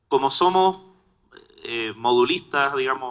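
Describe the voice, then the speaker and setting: A man with a Chilean accent at a moderate pace, with ordinary pitch variation. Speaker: solar storage industry technical lead. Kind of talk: panel discussion.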